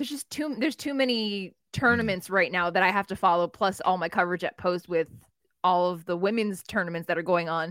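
A woman with an American accent speaks at a medium pitch and a fairly quick pace, with ordinary pitch variation, in a plain, everyday voice. The recording is very clean and dry, with a close sound, no echo and a silent background. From New Jersey. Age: 40s. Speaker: wrestling writer. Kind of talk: casual chat.

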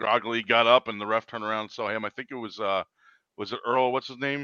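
With a plain, everyday voice, a man with an American accent speaks at a medium pitch with fairly even intonation. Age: 40s. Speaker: wrestling personality and stream host. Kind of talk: casual chat. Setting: video call.

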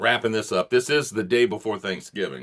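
Fairly low in pitch, a man speaks at a fairly quick pace with a bright, sharp tone and vocal fry. The recording is very clean, with a silent background. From South Louisiana (Gonzales). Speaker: podcast host. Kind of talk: casual interview.

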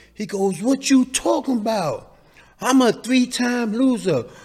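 A man speaks with a New York accent. The recording is very clean, with a silent background. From New York City, Lower East Side. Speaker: community member. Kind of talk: interview.

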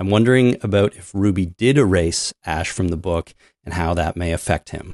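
An ordinary speaking voice, a man with a Canadian accent talks at a moderate pace and a fairly low pitch with ordinary variation, in dry, close sound with no echo against a quiet background. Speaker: podcast co-host. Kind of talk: casual chat.

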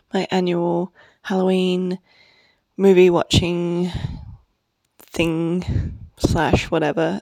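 A soft-spoken woman talks at a medium pitch with a dark, mellow tone. The sound is dry and close, with no echo. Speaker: podcast host. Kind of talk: casual monologue. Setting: at a friend's house.

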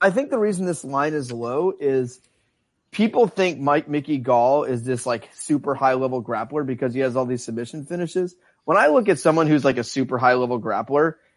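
With lively intonation, a man speaks at a moderate pace and a fairly high pitch. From Tennessee, US South. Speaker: podcast host. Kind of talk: casual banter, sports betting talk. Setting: live stream. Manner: joking, banter.

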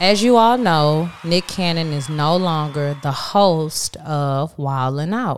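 On a very clean recording with a silent background, a woman with an American accent and an ordinary speaking voice talks at a fairly low pitch with lively intonation. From Texas. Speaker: podcast co-host. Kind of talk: casual chat.

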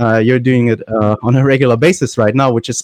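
The sound is dry and close, with no echo. The speaker has a German accent. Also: man. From Germany. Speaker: high school English teacher, podcast host. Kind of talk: casual chat. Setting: video call. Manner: halting.

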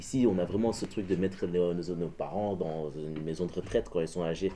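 This man has a very deep, low voice with a dark, mellow tone, speaking at a moderate pace with ordinary pitch variation. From Belgium. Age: 20s. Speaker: artist. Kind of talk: casual chat.

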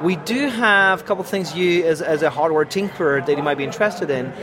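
A man's fairly high voice with a French accent at a very fast pace, ordinary pitch variation and noticeable background noise. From France. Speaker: software program manager. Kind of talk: casual interview. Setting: live at a tech conference.

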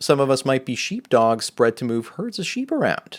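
A man's normal speaking voice at medium pitch, moderate pace and ordinary pitch variation, in a very clean recording with a silent background. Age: 40s. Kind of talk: solo monologue video answering a viewer's question.

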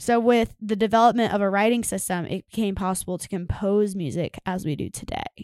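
With hardly any pauses, a woman speaks at a fairly quick pace and a medium pitch, with ordinary pitch variation. Her loudness swings widely on a very clean recording with a silent background. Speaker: podcast co-host. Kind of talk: reading researched notes in casual chat. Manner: rhythmic speaking cadence.

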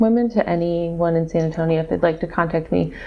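Over noticeable background noise, a woman talks in a fairly low pitch with an American accent. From Missouri. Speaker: urban planning consultant. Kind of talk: interview, telling her birth story. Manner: hesitant, many ums.

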